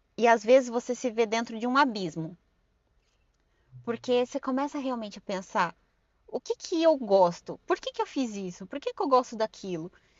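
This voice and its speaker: Moderate-paced speech from a woman, fairly high in pitch, with ordinary pitch variation. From Brazil, Suzano (São Paulo state). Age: 30s. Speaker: podcast guest. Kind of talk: casual interview chat.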